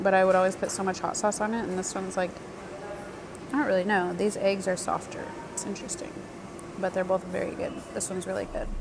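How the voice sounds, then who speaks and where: A woman with an American accent talks at a very fast pace, broken by long, frequent pauses. Noticeable background noise runs underneath. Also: medium pitch for a woman. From United States. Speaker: travel vlogger. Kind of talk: casual vlog talk to camera. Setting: airport cafe. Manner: animated, excited.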